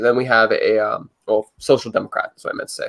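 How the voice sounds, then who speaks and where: A man talking at a very fast pace in a Canadian accent. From Canada. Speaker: political commentator. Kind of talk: casual chat. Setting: video call.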